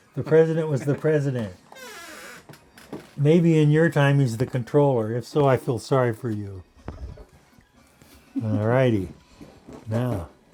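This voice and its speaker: Music plays in the background as a man with an American accent talks at a fairly slow pace, with long, frequent pauses. His pitch is medium, with ordinary pitch variation. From US West Coast, San Diego. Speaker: Marine veteran, former motorcycle dealership manager. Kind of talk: oral history interview. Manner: casual, joking.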